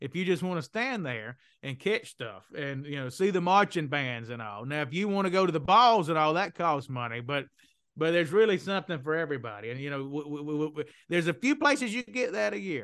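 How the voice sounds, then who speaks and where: In a Southern US accent, a man talks at a fairly quick pace with a fairly high pitch. His pitch swings very widely against a quiet background. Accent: Southern, drops the g's. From Mississippi, US South. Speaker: economic development consultant, company co-founder. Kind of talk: casual interview.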